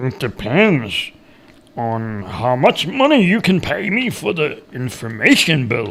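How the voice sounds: Doing a put-on character voice, a man speaks slowly at medium pitch with vocal fry, a fairly bright tone and very wide pitch swings.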